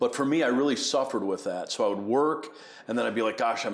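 Audible room echo surrounds a man at medium pitch who talks at a fairly quick pace with an American accent. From US Northeast, Buffalo, New York. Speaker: ministry executive and former pastor. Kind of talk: interview conversation. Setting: at a conference venue.

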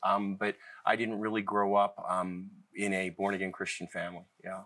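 An American-accented man at a moderate pace, fairly low in pitch, with a bright, sharp tone and monotone, flat intonation, on a very clean recording with a silent background. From US Midwest (Cleveland, Ohio). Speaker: ministry leader. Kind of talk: interview testimony. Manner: hesitant, many fillers.

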